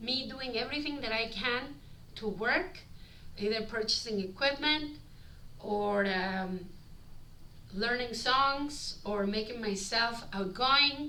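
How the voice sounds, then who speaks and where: A woman with a strong non-native accent and fairly high pitch, at a very slow pace, amid audible room echo and noticeable background noise. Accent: heavy foreign. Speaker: street performer and vlogger. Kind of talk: vlog reading from a script. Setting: recorded on body camera. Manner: halting.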